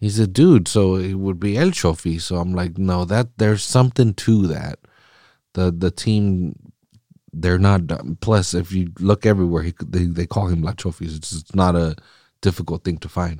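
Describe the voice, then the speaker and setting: Recorded very cleanly against a silent background, a man with a very deep, low pitch and a dark, mellow tone talks at a moderate pace with a Californian accent, the sound dry and close with no echo. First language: Spanish. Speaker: solo soccer podcast host. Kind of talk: casual chat. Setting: studio. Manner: animated.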